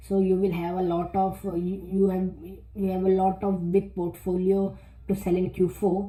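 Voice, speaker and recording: The speaker, with a non-native accent, talks at a fairly slow pace. Music plays in the background. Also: woman. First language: not English. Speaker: self-publishing youtuber. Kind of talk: tutorial. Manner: halting, many repetitions and fillers.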